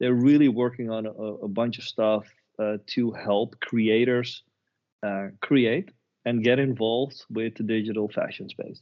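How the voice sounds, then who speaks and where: With a non-native accent, a man talks at a fairly slow pace and fairly even intonation. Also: medium pitch for a man. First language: not English. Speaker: web3 agency professional. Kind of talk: podcast interview. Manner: halting, many repeated words.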